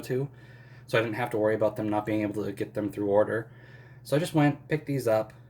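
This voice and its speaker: In a somewhat breathy voice of medium pitch, a man speaks with fairly even intonation. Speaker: manga collector YouTuber. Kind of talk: casual haul video. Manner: hesitant, many fillers.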